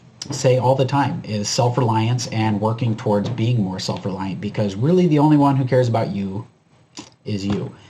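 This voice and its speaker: A man's dark, mellow, somewhat breathy voice at medium pitch, moving at a fairly quick pace with ordinary pitch variation. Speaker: preparedness YouTuber. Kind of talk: commentary video monologue. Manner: casual, filler-heavy.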